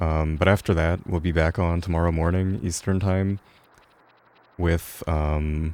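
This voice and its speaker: Mumbling at a fairly slow pace, a man speaks in a very deep, low voice with monotone, flat intonation and very even loudness. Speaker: video game speedrunner streamer. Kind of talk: live game commentary. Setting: live stream. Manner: mumbling, low energy.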